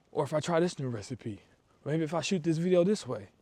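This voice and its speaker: Lively intonation in a dark, mellow tone. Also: man. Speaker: motivational vlogger. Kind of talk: motivational talk while walking. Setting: outdoors, walking in cold weather. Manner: casual, conversational.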